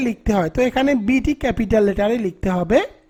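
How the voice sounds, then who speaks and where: A man's voice at an extremely high pitch carries ordinary pitch variation. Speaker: English tutor. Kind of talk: tutorial.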